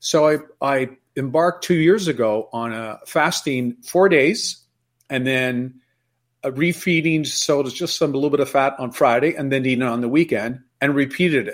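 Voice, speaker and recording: An unremarkable speaking voice from a man, fairly high in pitch with ordinary pitch variation, at a moderate pace on a very clean recording with a silent background. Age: 60s. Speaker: former financial investor, health advocate. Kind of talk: interview testimony.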